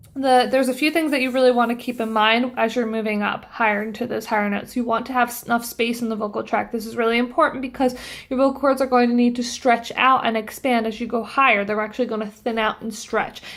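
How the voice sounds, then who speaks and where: A woman's fairly high, monotone, flat voice at a very fast pace with hardly any pauses. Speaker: voice teacher. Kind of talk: tutorial.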